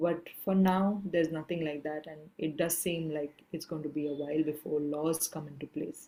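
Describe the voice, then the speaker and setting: Soft-spoken and dark, mellow in tone, a woman speaks in a very deep, low voice at a moderate pace, with monotone, flat intonation and hardly any pauses. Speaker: activist and filmmaker. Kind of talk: masterclass talk. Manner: trailing off in volume. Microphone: too quiet.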